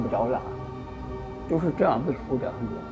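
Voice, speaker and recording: A man speaks with music in the background. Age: 80s+; old. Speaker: war veteran. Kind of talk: interview answer.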